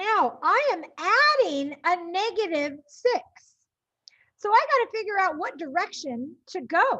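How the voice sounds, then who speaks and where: A woman speaks at a fairly slow pace in a raised, projected voice, her bright, sharp tone sitting at an extremely high pitch with very wide pitch swings. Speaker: math teacher. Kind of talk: lecture. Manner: animated.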